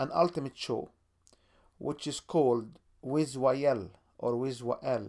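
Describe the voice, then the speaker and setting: Dark, mellow male voice in an Arabic accent, on a very clean recording with a silent background. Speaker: podcast host. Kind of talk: podcast promo monologue.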